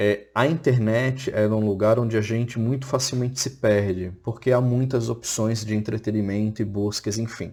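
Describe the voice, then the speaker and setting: A man with a dark, mellow tone at a moderate pace. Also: medium pitch for a man, fairly even intonation. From Florianópolis, southern Brazil. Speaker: teacher. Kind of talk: recorded online lecture.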